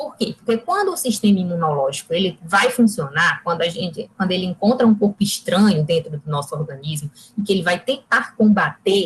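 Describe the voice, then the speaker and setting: At a moderate pace, a woman with a somewhat breathy, medium-pitched voice speaks with lively intonation. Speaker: nutritionist giving a talk. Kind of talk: lecture.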